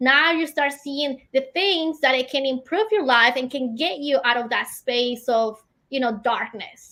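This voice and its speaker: Speaking in a non-native accent, a woman projects a raised voice at a high pitch with a bright, sharp tone and a fairly slow pace. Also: ordinary pitch variation. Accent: noticeable foreign. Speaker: entrepreneur and business coach. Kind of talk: interview.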